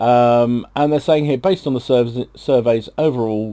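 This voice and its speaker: A man with a British accent, dark and mellow in tone, at a moderate pace, on a very clean recording with a silent background. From Britain. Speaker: gaming YouTuber. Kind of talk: casual gaming news commentary. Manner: hesitant, many fillers.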